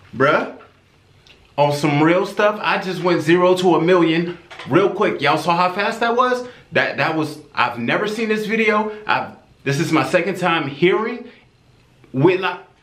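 A man's high-pitched voice at a moderate pace, with ordinary pitch variation, long and frequent pauses, and audible room echo. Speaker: music reaction creator. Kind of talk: casual reaction commentary. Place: home room.

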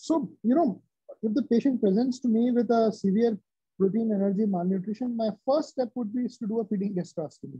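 A man with an Indian accent speaks at a fairly quick pace and high pitch. His pitch varies in an ordinary way, and the background is quiet. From central India. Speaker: bariatric surgeon; interviewee. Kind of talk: interview. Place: office. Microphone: video call.

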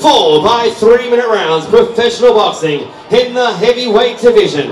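A man with an Australian accent speaks loudly in a theatrical tone with lively intonation. Audible room echo and light background noise surround him. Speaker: boxing ring announcer. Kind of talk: ring announcement. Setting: live arena with crowd over PA. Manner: theatrical, crowd-pumping with drawn-out build-ups; loud and hype-driven, urging the crowd. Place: hall. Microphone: pa.

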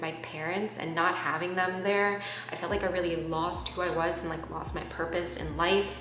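Audible room echo surrounds a woman's voice. Light background noise is present too. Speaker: vlogger. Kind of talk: casual vlog chat. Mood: reflective, personal, earnest.

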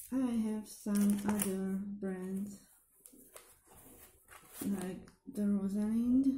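A woman's medium-pitched voice with a non-native accent and fairly even intonation, very slow, with long and frequent pauses, audible room echo and light background noise. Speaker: nail hobby vlogger. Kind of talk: casual product haul talk to camera. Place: home room. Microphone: camera far.

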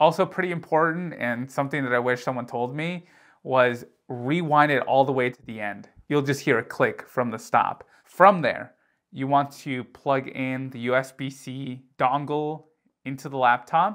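Talking at a fairly slow pace, a man shows ordinary pitch variation against a quiet background. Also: big swings in loudness. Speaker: tech youtuber. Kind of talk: tutorial. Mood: light, joking. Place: home room. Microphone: lapel.

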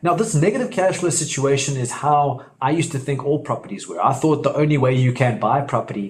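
Speaking with ordinary pitch variation, a man keeps to a moderate pace. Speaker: property investment educator. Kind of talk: tutorial.

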